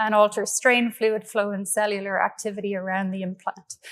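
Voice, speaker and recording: A woman's fairly high voice in an Irish accent at a moderate pace, on a very clean recording with a silent background. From Ireland, Galway. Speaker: engineering professor. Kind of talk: keynote lecture. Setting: conference stage with audience.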